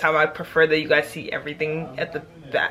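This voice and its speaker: A woman with an animated tone at a very fast pace, over noticeable background noise. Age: young. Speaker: college student. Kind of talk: casual storytime talk to camera. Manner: chatty, animated.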